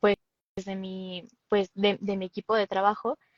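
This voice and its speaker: A woman with a Mexican accent speaks at a fairly slow pace in a medium pitch, her intonation monotone and flat, the sound dry and close with no echo. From Mexico City. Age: 20s. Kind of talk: interview.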